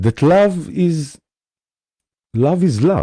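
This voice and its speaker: With very wide pitch swings and a dark, mellow tone, a man speaks at a very slow pace in an Israeli accent, the sound dry and close with no echo. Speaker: spiritual teacher. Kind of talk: live stream talk. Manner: hesitant, many fillers.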